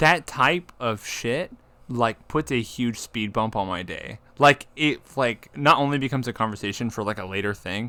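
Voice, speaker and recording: A man speaks loudly at a moderate pace with a medium pitch, ordinary pitch variation and a bright, sharp tone, in a very clean recording with a silent background. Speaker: podcast host. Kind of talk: casual chat.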